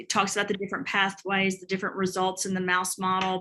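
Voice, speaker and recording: A woman speaks at a medium pitch with a bright, sharp tone. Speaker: doctor discussing supplement research. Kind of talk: educational discussion on video call. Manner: halting.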